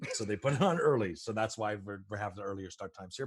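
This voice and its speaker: A man is speaking. His pace is very fast. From Canada. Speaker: film producer. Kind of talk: interview.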